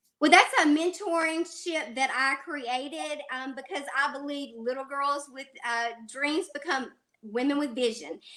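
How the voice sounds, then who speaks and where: Raising and projecting her voice, a woman speaks at a fairly slow pace in a high pitch and a bright, sharp tone, with ordinary pitch variation and big swings in loudness. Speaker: podcast host and ministry leader. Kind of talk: interview.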